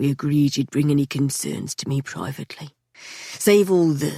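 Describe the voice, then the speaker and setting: Quiet and low-to-middle in pitch, the voice is a put-on character. It moves at a moderate pace. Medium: read story. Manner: calm, unhurried, quietly menacing.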